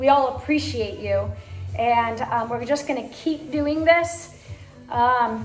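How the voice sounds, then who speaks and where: Faint music plays in the background while a woman speaks at a very slow pace. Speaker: fitness instructor. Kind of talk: closing remarks to online class. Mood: warm, grateful. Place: gym. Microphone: camera far.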